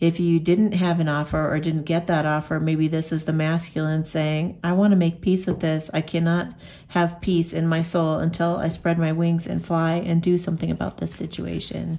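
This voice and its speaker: Her voice is fairly low in pitch with a dark, mellow tone and monotone, flat intonation, moving at a moderate pace with hardly any pauses. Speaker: oracle card reader. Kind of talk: card reading commentary. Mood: warm, encouraging. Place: home room.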